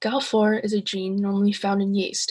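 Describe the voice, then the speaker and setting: With an American accent, a woman speaks at a moderate pace and medium pitch, her voice somewhat breathy. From US Midwest, Ohio. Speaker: student. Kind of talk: class presentation.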